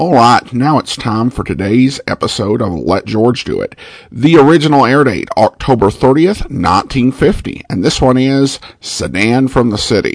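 A man with an American accent uses a normal speaking voice and lively intonation. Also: medium pitch for a man, fairly slow pace. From Boise, Idaho, US. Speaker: podcast host. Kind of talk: podcast intro and outro, casual announcements.

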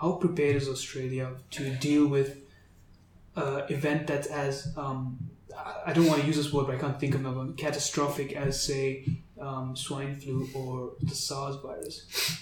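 The voice is monotone with flat intonation, heard with audible room echo and noticeable background noise. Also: man, fairly high pitch for a man, moderate pace. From Botswana. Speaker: medical student podcast host. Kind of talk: interview.

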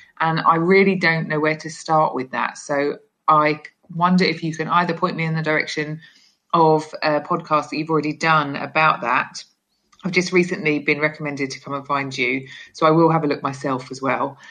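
A woman with a British accent speaks at a moderate pace in a bright, sharp tone, her pitch very deep and low, with fairly even intonation. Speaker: podcaster leaving voicemail question. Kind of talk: voicemail question.

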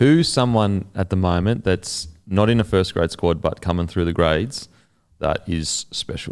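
A man with a very deep, low pitch talks at a moderate pace, his pitch varying in an ordinary way. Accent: Australian. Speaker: podcast host. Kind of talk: casual chat. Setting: studio. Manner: animated.

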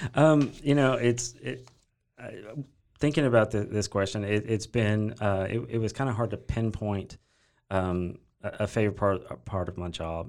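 This man speaks at a fairly low pitch. His pitch varies an ordinary amount. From Texas, Corsicana. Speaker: nonprofit executive. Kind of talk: interview. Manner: halting, many fillers.

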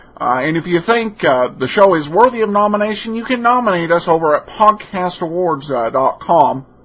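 Over noticeable background noise, a man talks at a moderate pace and high pitch, his intonation lively and his pauses hardly any. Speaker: podcast host. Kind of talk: podcast intro and outro, casual commentary. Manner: casual, hesitant with filler words.

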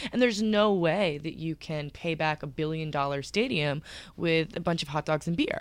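An ordinary speaking voice: a woman at a moderate pace and fairly low pitch, with ordinary pitch variation. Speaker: podcast co-host and editor. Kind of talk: casual interview chat. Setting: studio.

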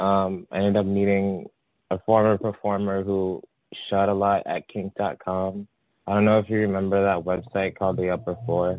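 In a very clean recording with a silent background, a man with a Californian accent talks at a moderate pace in a fairly low, monotone voice, the sound dry and close with no echo. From San Francisco Bay Area. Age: 30s. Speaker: adult performer and artist. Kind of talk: interview. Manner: hesitant, filler-heavy.

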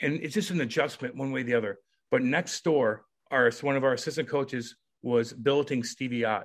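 With an American accent, a man talks at a fairly quick pace and medium pitch with ordinary pitch variation over a quiet background. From US Midwest, Missouri (Eureka, near St. Louis). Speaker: retired pro hockey enforcer. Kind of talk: interview storytelling. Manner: animated.

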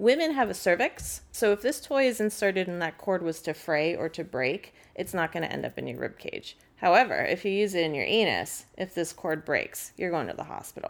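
Fairly quick woman's voice of medium pitch, lively intonation and vocal fry, with hardly any pauses. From San Francisco, US West Coast. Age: 30s. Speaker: sex toy salesperson. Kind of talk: casual chat.

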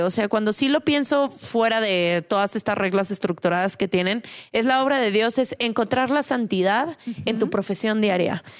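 A plain, everyday voice from a woman, fairly high in pitch, with lively intonation, a moderate pace and hardly any pauses. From Mexico, San Luis Potosí. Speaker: women's rights activist. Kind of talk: casual chat.

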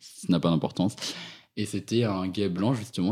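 A man speaks on a very clean recording against a silent background. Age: 20s. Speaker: university student. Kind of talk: interview. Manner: halting.

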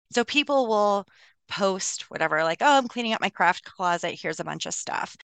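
A plain, everyday voice with lively intonation comes at a moderate pace, with a dry, close sound, no echo, and a quiet background. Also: woman, medium pitch for a woman. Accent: American. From US, Colorado. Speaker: physician and troop leader. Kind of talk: casual interview.

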